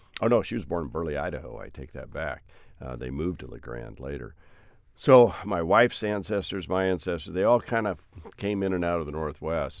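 With very wide pitch swings and vocal fry, a man in an American accent speaks at a fairly quick pace in a very deep, low pitch. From Oregon. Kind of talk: casual interview conversation.

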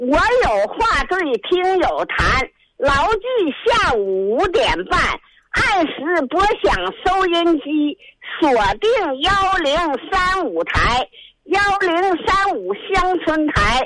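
Extremely high-pitched woman at a very slow pace, with very wide pitch swings, very even loudness and long, frequent pauses. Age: 70s. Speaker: radio call-in listener. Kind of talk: phone call-in chat.

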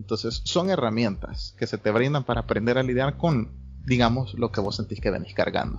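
This man talks at a fairly quick pace with lively intonation. His voice carries vocal fry. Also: medium pitch for a man. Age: 20s. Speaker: psychology student. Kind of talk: casual chat.

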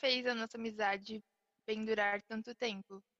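A woman speaks with a bright, sharp tone and fairly even intonation in a dry, close sound with no echo. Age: young (almost 19). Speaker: podcast co-host, small business owner. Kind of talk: casual chat.

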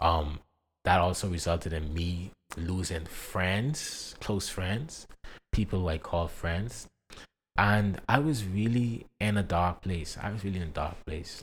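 A man talks at a fairly slow pace in a very deep, low, somewhat breathy voice with ordinary pitch variation. The recording is very clean, with a silent background. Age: 20s. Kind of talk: personal testimony.

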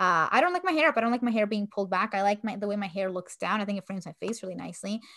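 On a very clean recording with a silent background, a woman with a medium pitch and a bright, sharp tone speaks very fast with hardly any pauses and ordinary pitch variation. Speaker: podcast co-host. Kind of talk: casual chat.

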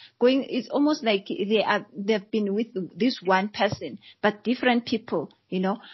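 With ordinary variation in pitch, the voice comes across as somewhat breathy. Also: woman, fairly high pitch for a woman, moderate pace. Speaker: coach and psychologist. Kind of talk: casual chat.

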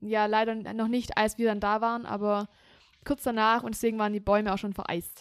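A woman speaks at a fairly high pitch and a fairly quick pace. Her intonation is monotone and flat. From Germany, Swabia (Heidenheim area). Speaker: podcast co-host. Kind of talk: casual chat.

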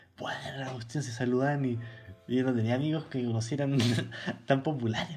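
At a fairly quick pace, a man talks in a monotone, flat intonation broken by long, frequent pauses. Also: medium pitch for a man. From Chile, Santiago. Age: 20s. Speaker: podcast co-host, journalism student. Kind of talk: casual chat. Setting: video call.

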